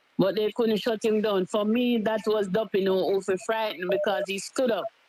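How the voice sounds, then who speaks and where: Against noticeable background noise, the voice moves at a moderate pace with ordinary pitch variation. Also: woman. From Jamaica. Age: 70s. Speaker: caller. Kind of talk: call-in comment.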